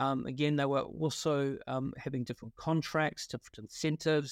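A man with a New Zealand accent at a fairly quick pace and fairly high pitch, with fairly even intonation and a dry, close sound with no echo. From New Zealand, Wellington. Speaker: partnership consultant, company founder. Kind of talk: interview. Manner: hesitant, many fillers.

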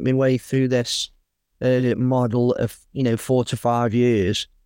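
Over a quiet background, a man speaks with an English accent. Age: 40s. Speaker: builder and property investor. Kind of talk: interview. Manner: casual, halting with many fillers.

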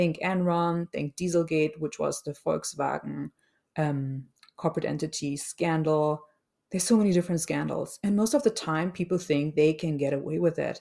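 A woman with a dark, mellow tone and fairly low pitch speaks at a moderate pace with ordinary pitch variation, in a very clean recording with a silent background. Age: 40s. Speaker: podcast host, change management consultant. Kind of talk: solo podcast monologue. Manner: unscripted, occasionally searching for words.

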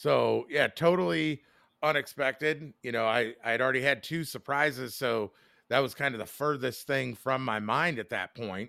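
Heard on a very clean recording with a silent background, a man at a medium pitch talks at a moderate pace in a bright, sharp tone with vocal fry. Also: ordinary pitch variation. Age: 40s. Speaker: podcast co-host. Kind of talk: casual chat.

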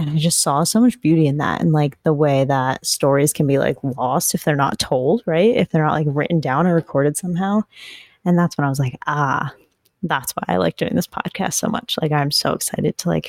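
Vocal fry runs through a woman's very deep, low voice with lively intonation. She speaks at a moderate pace, and the sound is dry and close with no echo. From New England. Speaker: podcast host, home gardener. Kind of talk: casual solo monologue. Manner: frequent fillers (um, like); chatty, animated.

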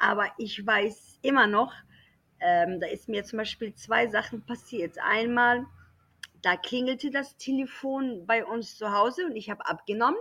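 Speaking at a fairly slow pace, a woman has a bright, sharp tone and ordinary pitch variation. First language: not German (speaking German). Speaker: German teacher. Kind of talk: casual chat.

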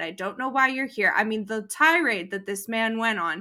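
On a very clean recording with a silent background, a woman talks at a moderate pace. She has an ordinary speaking voice with a fairly high pitch. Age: 30s. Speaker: cancer patient and nonprofit volunteer. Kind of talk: casual interview.

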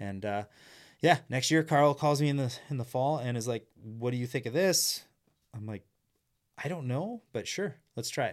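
The speaker uses a Canadian Prairies accent at a moderate pace with ordinary pitch variation and long, frequent pauses, on a very clean recording with a silent background. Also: man, medium pitch for a man. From Saskatchewan, Canada. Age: 40s. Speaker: former snocross racer and race commentator. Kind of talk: casual interview chat. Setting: studio.

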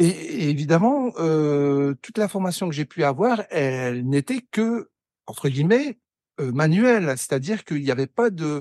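This man's dark, mellow voice sits fairly high for a man, moves at a fairly slow pace with very wide pitch swings, and is recorded with a dry, close sound and no echo. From northern France, Pas-de-Calais mining basin. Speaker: wood sculptor. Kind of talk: interview conversation. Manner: halting, many repetitions.

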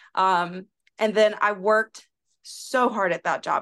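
Against a quiet background, a woman with an American accent uses a normal speaking voice at medium pitch with fairly even intonation. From US South, South Carolina. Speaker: occupational therapist and content creator. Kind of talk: casual chat. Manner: laughs often.

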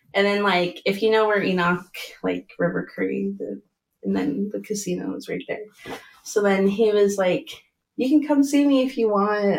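Using a normal speaking voice, a woman of medium pitch talks at a fairly quick pace with ordinary pitch variation. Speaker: early childhood educator. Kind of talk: casual chat. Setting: studio.

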